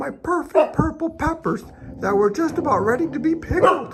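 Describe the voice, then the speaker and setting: This put-on character voice is squeaky and high-pitched, moving at a moderate pace. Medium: read story. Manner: frantic, repetitive.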